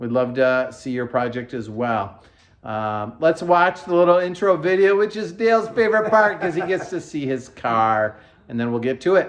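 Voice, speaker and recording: In a quiet background, a man talks at a moderate pace in a fairly high pitch with very wide pitch swings. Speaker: car restoration video host. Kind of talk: casual chat. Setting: heated workshop.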